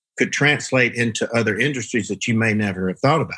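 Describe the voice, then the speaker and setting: Speaking fairly quickly with an American accent, a man uses a bright, sharp tone at medium pitch with lively intonation, on a very clean recording with a silent background. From US South. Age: 50s. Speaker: marketing agency CEO and author. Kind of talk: interview.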